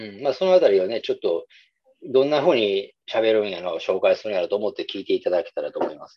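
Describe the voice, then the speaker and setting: A man with a Kansai accent, talking very fast, his loudness swinging widely. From Nara, Japan (Kansai). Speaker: music podcast co-host. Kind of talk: casual chat.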